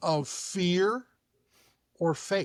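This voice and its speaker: This man talks with an American accent and ordinary pitch variation. The recording is very clean, with a silent background. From New York City. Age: 60s. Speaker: chiropractor. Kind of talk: casual chat.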